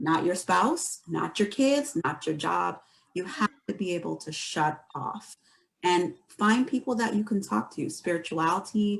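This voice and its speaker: The voice has vocal fry and very wide pitch swings, moving at a fairly slow pace. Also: woman, fairly low pitch for a woman. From Barbados. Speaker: mental health professional. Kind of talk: panel discussion.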